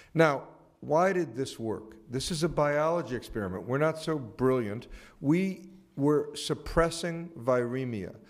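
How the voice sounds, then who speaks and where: A man with an American accent speaks in a fairly high voice, his intonation lively, while the room gives back an audible echo. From North Carolina. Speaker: HIV researcher. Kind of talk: conference presentation. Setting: auditorium panel. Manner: fast.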